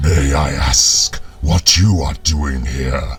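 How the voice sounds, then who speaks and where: In a put-on character voice, a man growls very slowly at a very deep, low pitch amid clear background noise. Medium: read story. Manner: imperious, demanding.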